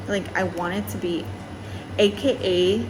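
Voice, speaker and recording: A woman is speaking with noticeable background noise. Audible room echo is present. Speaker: vlogger. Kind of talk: casual storytelling vlog. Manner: casual, filler-heavy.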